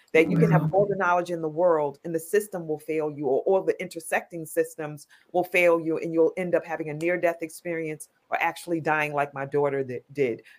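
A woman speaks fairly quickly in a New York accent. Her pitch is fairly low and her intonation fairly even. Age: 50s. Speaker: nonprofit founder. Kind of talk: casual chat.

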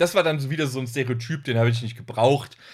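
This man has a medium-pitched, somewhat breathy voice. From northern Germany. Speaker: trash film podcaster. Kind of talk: casual chat.

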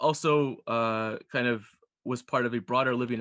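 Recorded with a dry, close sound and no echo, a man with an American accent speaks at a medium pitch with ordinary pitch variation. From US, Pennsylvania. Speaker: historian. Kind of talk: interview. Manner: hesitant, many fillers.

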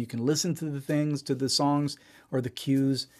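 On a very clean recording with a silent background, a man with an American accent and a plain, everyday voice speaks at a fairly quick pace and a fairly high pitch. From Israel. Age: 40s. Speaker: musician and producer. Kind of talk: casual interview.

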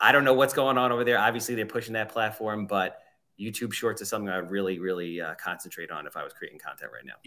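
A man with a Long Island accent, fairly low-pitched, very fast, bright and sharp in tone, with ordinary pitch variation and big swings in loudness. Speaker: real estate agent.

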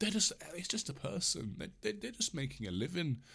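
The speaker is a man with an English accent. His voice is somewhat breathy. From England. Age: 20s. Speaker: podcast host. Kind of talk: solo rant podcast, casual. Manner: rambling, hesitant, laughs often.

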